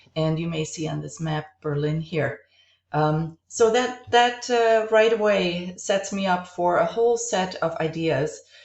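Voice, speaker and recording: A woman with a German accent and a fairly low pitch speaks at a fairly slow pace with lively intonation. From East Germany (Halle, Dresden). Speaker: college instructor, art historian. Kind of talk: recorded class introduction lecture.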